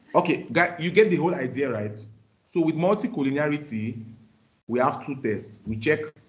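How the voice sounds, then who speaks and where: Lively in intonation and somewhat breathy, a man speaks at a fairly quick pace in a fairly high pitch, with audible room echo. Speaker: university lecturer. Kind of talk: lecture. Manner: fast.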